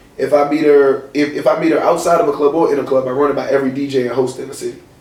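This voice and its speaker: A man with a fairly high pitch talks at a very fast pace. His intonation is monotone and flat, over noticeable background noise. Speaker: radio host and club scene figure. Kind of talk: casual talk show guest answer.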